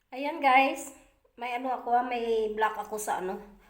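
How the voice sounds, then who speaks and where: A woman speaks at a moderate pace with a high pitch, and the room echo is audible. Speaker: vlogger. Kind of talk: casual vlog talk. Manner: halting, many fillers.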